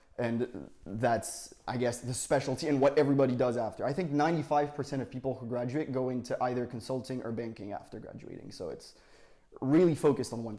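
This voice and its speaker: A man with a French accent, very fast pace and fairly even intonation. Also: medium pitch for a man. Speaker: university student. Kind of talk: interview. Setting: podcast.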